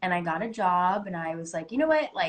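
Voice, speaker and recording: An ordinary speaking voice from a woman with an American accent, fairly low pitch and moderate pace. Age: 20s. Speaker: actress. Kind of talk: casual interview. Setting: Instagram live video call.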